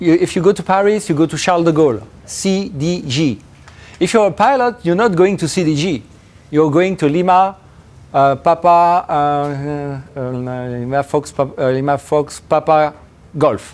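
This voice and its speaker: A man with a French accent speaks at a moderate pace in a high pitch, his intonation lively. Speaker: professor. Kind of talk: lecture; Q&A answer. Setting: seminar with audience. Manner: halting.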